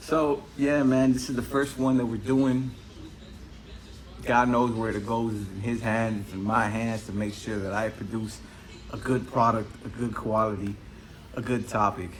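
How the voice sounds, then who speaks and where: A man with an American accent speaks with long, frequent pauses. Noticeable background noise and audible room echo are present. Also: medium pitch for a man. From Cuba-born, raised in the US from age four. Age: 30s. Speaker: podcast host. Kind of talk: casual solo podcast monologue. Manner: fast; rambling, animated.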